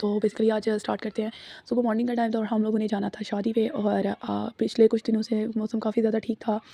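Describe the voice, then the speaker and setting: The voice has a dark, mellow tone and monotone, flat intonation, with a dry, close sound and no echo. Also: woman, fairly high pitch for a woman. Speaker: vlogger. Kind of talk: vlog voice-over narration. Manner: casual, with fillers.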